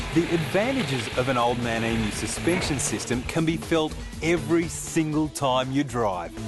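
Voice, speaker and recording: A man with an Australian accent speaks at a moderate pace, medium in pitch, with hardly any pauses. His intonation is lively, and music plays in the background. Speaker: TV presenter. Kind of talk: product promotion read.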